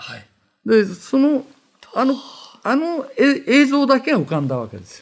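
The speech moves at a fairly slow pace, with ordinary pitch variation and big swings in loudness. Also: man, extremely high pitch for a man. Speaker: veteran anime director. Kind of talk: interview. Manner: halting, many fillers.

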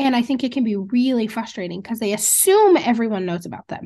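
At a fairly quick pace, a woman speaks with a fairly high pitch and lively intonation in a plain, everyday voice. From Montana. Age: 30s. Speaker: rancher and entrepreneur. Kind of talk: interview. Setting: video call.

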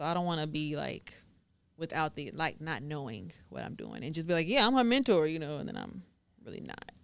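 Very wide pitch swings and big swings in loudness mark this fairly quick, vocal-fry delivery on a very clean recording with a silent background. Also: woman, very deep, low pitch for a woman. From Texas, Waco area. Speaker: notary and YouTuber. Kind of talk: casual interview chat.

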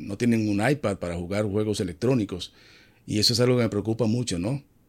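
The recording is very clean with a silent background, carrying a man's unremarkable speaking voice at a fairly low pitch. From Dominican Republic. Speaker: TV entertainment journalist and host. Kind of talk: casual interview.

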